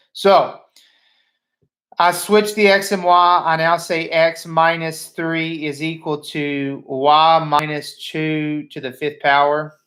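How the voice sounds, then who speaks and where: A man speaks at a very slow pace. His pitch sits fairly high. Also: fairly even intonation. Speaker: high school math teacher. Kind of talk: lecture. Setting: live stream from home. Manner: casual, halting with fillers.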